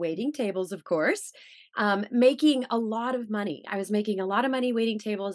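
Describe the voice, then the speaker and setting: A woman with an American accent has an unremarkable speaking voice, fairly high in pitch with ordinary pitch variation. She talks at a fairly quick pace against a quiet background. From Missouri, US Midwest. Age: 40s. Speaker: author and speaker on faith, former actress. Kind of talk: testimony.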